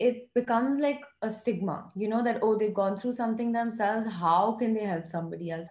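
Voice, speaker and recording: Her pitch fairly high and ordinarily varied, a woman talks at a fairly quick pace with audible room echo. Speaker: mental health foundation founder, psychology student. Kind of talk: podcast interview answer. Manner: soft-spoken. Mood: earnest, reflective. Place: home room. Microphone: video call.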